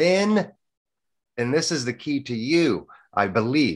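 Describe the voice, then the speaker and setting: A man speaks at a very slow pace with a fairly high pitch. His pitch swings very widely. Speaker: podcast host. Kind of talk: interview talk.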